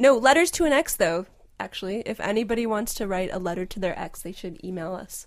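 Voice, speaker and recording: Using an ordinary speaking voice, a woman talks at a fairly quick pace. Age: 30s. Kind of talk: casual chat. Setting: remote call.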